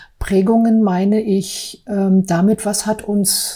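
Very slowly and somewhat breathily, a woman speaks at a medium pitch with a dark, mellow tone and fairly even intonation. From East Berlin, Friedrichshain. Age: 40s. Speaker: office clerk and artist. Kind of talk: personal testimony.

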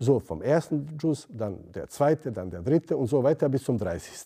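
A man speaks at medium pitch and a moderate pace, with a dark, mellow tone and vocal fry. His pitch swings very widely. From Bosnia. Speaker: theology lecturer, former imam. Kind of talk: interview.

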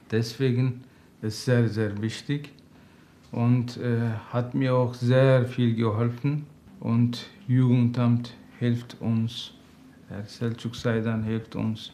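Speaking with a Turkish accent, a man has a dark, mellow tone and a monotone, flat intonation. He goes at a very slow pace with long, frequent pauses. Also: medium pitch for a man. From Turkey. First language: Turkish (speaking German). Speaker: father seeking counseling. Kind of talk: interview. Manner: halting.

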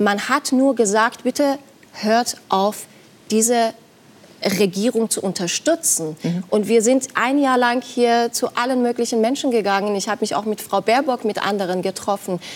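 A speaker with a Persian accent talks at a moderate pace with ordinary pitch variation. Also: woman, fairly high pitch for a woman. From Iran. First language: Persian (speaking German). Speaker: journalist. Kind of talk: TV talk show debate. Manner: hesitant, many fillers.

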